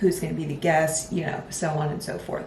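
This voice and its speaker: A woman speaks at a moderate pace, with audible room echo and noticeable background noise in the recording. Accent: American. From Philadelphia, US. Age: 20s. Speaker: podcast host and lifestyle content creator. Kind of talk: casual solo podcast talk. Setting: home recording with improvised mic setup. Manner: chatty, animated.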